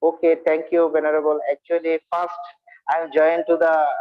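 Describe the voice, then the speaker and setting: A man with a Bengali accent speaks at a fairly quick pace. His pitch is fairly high. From India. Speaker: Buddhist monk and speaker. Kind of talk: dharma talk. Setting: video call. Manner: halting.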